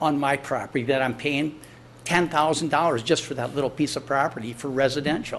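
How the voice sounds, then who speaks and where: A man with an American accent talks at a fairly high pitch. His pace is fairly quick, and room echo is audible. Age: 60s. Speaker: business owner addressing city council. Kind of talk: public comment at council meeting. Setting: city council chamber. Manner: conversational, repetitive fillers.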